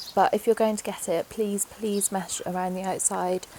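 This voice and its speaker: A fairly quick woman's voice at medium pitch, over noticeable background noise. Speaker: pet owner, rabbit keeper. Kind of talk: casual talk to camera.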